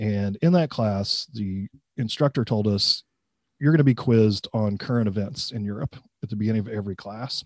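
Over a quiet background, a man speaks with a Midwestern American accent in a dry, close sound without echo. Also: fairly low pitch for a man, ordinary pitch variation, moderate pace. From US Midwest, central Illinois. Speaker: college professor. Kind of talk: interview.

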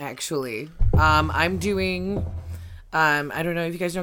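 Over background music, a woman with a very deep, low voice talks at a moderate pace, her pitch swinging very widely. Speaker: comedian. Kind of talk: casual chat. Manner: animated.

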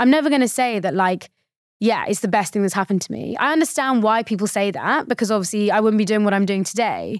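On a very clean recording with a silent background, a woman with a British accent talks very fast, her fairly high pitch showing ordinary variation. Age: 20s. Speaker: mental fitness coach and founder. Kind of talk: casual interview chat.

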